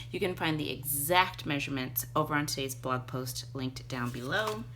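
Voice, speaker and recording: A woman's voice with audible room echo. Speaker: papercraft tutorial host. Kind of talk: tutorial. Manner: animated.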